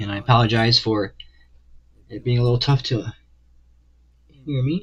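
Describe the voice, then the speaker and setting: A man's somewhat breathy voice at a moderate pace, with ordinary pitch variation. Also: medium pitch for a man. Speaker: livestreaming artist. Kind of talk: casual live stream chat. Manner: hesitant, many fillers.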